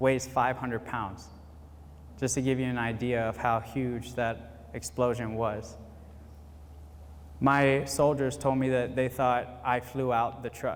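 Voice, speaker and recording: A man with an American accent, medium pitch, ordinary pitch variation and a fairly slow pace. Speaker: retired army veteran, motivational speaker. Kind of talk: motivational speech at graduation ceremony.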